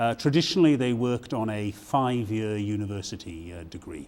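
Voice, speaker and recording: Ordinary pitch variation from a man with a British accent. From Britain. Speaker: university provost. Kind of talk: interview. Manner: halting, many fillers.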